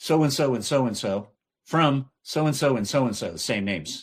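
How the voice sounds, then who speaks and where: At a moderate pace and medium pitch, a man with a Texan accent speaks with ordinary pitch variation. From southeast Texas. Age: 60s. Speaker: voice actor. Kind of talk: casual chat. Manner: animated.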